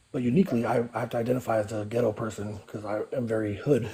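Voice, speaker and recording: In an American accent, the speaker rushes along at a very fast pace with fairly even intonation over noticeable background noise. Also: man. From US West Coast, East Oakland, California. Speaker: participant in live group talk. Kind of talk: casual chat.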